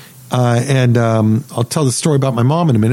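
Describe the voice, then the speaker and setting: A man talks over noticeable background noise. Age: 60s. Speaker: radio host and financial advisor. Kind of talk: financial talk radio monologue.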